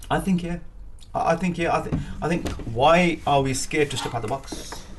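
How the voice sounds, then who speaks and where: Against noticeable background noise, a man talks at a fairly quick pace, his pitch fairly high with ordinary variation. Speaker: business networker, boxer and aspiring politician. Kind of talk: interview. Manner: energetic.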